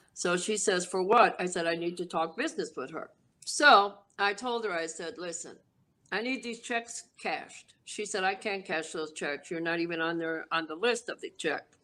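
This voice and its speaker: The voice has a New York accent and a bright, sharp tone. Pitch variation is ordinary. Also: woman, medium pitch for a woman, moderate pace. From New York City, South Bronx. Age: 60s. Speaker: former mafia associate. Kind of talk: interview storytelling. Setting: podcast interview. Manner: casual, streetwise.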